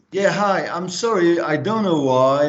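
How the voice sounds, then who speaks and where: A man in a French accent with lively intonation and audible room echo. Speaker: academic. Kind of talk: self-introduction. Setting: video call.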